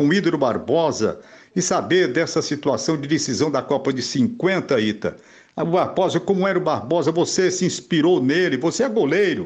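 Lively intonation from a high-pitched man, moderately paced. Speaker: veteran sports journalist. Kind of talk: recorded question.

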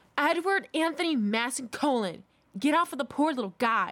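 A female-sounding voice, put on as a character, hisses at a high pitch and a moderate pace. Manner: hissing.

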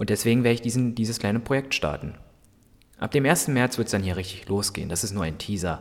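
A man at a medium pitch with ordinary pitch variation, a very fast pace, and a very clean recording with a silent background. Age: 20s. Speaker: podcaster. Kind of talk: solo podcast monologue. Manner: halting, many fillers.

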